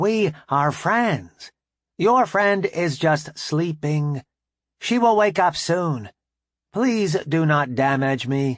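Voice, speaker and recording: A put-on character voice at a middle pitch speaks at a very slow pace over a quiet background. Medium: read story. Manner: formal, measured.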